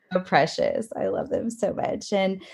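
In an unremarkable speaking voice, a woman holds a medium pitch. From Texas (College Station). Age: 30s. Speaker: dance studio owner. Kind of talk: casual chat.

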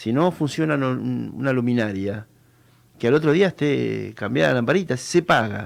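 Speaking in a Rioplatense accent, a man with a medium pitch talks at a moderate pace with lively intonation. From Argentina, Buenos Aires province (Benavides, Tigre). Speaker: local political candidate. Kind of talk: radio interview. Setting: radio studio. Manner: hesitant, many fillers.

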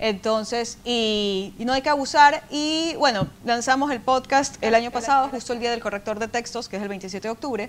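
In a plain, everyday voice, a woman speaks at a moderate pace with a fairly high pitch, ordinary pitch variation and hardly any pauses. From Ecuador. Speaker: language editor and podcaster. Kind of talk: casual chat.

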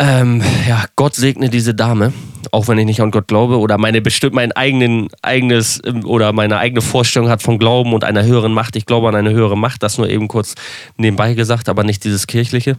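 At a very fast pace, a man talks at a medium pitch with monotone, flat intonation. His loudness stays very even. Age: 30s. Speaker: social media entertainer. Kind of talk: casual monologue.

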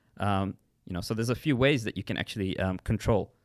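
A man with a fairly low pitch talks at a fairly quick pace with ordinary pitch variation, in an ordinary speaking voice. The recording is very clean with a silent background, dry and close with no echo. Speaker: podcast co-host, fitness and nutrition. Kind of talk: casual chat.

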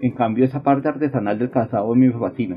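A man with a medium-pitched voice talks at a very fast pace with ordinary pitch variation, and there is noticeable background noise. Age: 40s. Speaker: leather craftsman and shoe repairer. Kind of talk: interview testimony.

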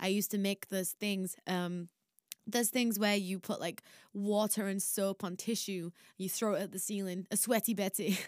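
Moderately paced, a woman speaks in a Yorkshire accent with monotone, flat intonation. The recording is very clean, with a silent background and a dry, close sound with no echo. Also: medium pitch for a woman. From northern England, Barnsley, South Yorkshire. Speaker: singer. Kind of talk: casual storytelling.

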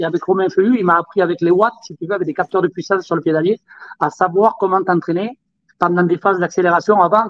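A man speaks at a very fast pace in a high pitch. His intonation stays fairly even. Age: 40s. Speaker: former motocross world champion. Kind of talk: casual chat.

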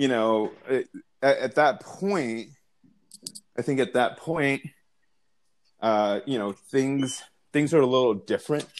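A man talks at a very slow pace with long, frequent pauses. His medium pitch shows ordinary variation. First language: not English. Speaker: podcast co-host, single parent. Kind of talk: casual chat. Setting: remote call, not face to face.

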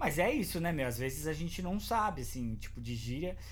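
A man with a strong São Paulo accent talks at a moderate pace. Audible room echo surrounds his voice. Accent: paulista, strong. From São Paulo, Brazil. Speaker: podcast host. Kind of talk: casual chat. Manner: animated, slangy.

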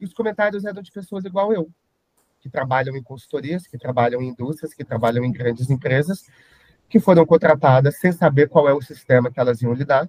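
A somewhat breathy man, fairly quick in pace, with very wide pitch swings. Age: 30s. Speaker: IT consultant and social media influencer. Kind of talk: podcast interview.

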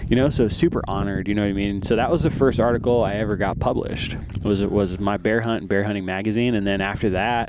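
Speaking very fast with hardly any pauses, a man with an American accent has a fairly low pitch and ordinary pitch variation. The recording carries audible room echo and noticeable background noise. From Arizona (from age nine). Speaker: hunter and content creator. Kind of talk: casual interview. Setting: shooting facility.

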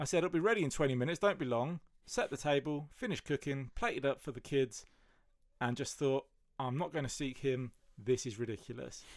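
On a very clean recording with a silent background, a man with a British accent talks at a fairly quick pace with ordinary pitch variation. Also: fairly high pitch for a man. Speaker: podcast guest. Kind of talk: casual chat.

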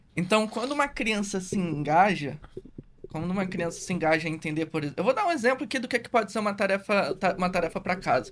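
Very fast delivery with lively intonation. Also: man, high pitch for a man. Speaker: sports psychologist. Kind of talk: podcast conversation. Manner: casual, informal.

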